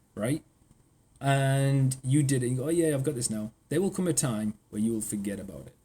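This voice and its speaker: A man with a northeast English accent, medium-pitched, dark and mellow in tone, somewhat breathy, at a fairly quick pace, with ordinary pitch variation and big swings in loudness. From northeast England. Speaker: AI consultant. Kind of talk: casual chat.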